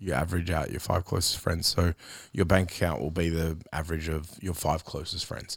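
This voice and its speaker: At a fairly quick pace, the speaker talks in an Australian accent with monotone, flat intonation. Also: man, very deep, low pitch for a man. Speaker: podcast host. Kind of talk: casual interview.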